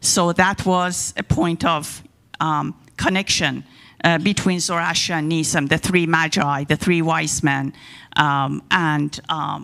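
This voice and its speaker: With an Iranian accent, a woman speaks very slowly in a fairly low voice with a bright, sharp tone. The recording is very clean, with a silent background. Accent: Iranian (Persian). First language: Persian. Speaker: guest speaker on religion. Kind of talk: talk to a congregation.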